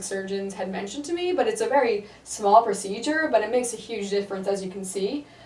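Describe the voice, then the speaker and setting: With an American accent and ordinary pitch variation, a woman talks at a very fast pace over noticeable background noise. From US Northeast, Connecticut. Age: 20s. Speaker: surgery patient. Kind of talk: testimonial interview.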